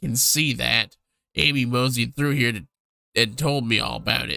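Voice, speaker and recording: A man puts on a raspy character voice at a medium pitch, recorded with a dry, close sound and no echo. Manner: put-on character voice.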